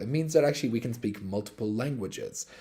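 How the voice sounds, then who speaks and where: Lively intonation rides on a dark, mellow tone. The speaker has an Irish accent. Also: man. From Ireland. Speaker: crypto company executive. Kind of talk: live-stream AMA.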